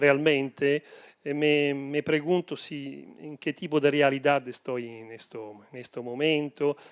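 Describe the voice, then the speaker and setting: A man with an Italian accent at a very slow pace, fairly high in pitch, with fairly even intonation, big swings in loudness, and a dry, close, very clean sound against a silent background. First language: Italian (speaking Spanish). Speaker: book author. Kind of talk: author's reply at book presentation. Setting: bookstore event with audience. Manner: hesitant, many filler sounds.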